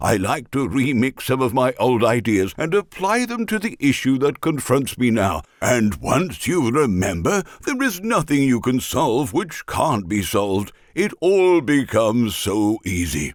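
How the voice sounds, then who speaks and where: A man puts on a cartoonish character voice at medium pitch. He holds a moderate pace with hardly any pauses. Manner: upbeat, encouraging, chatty.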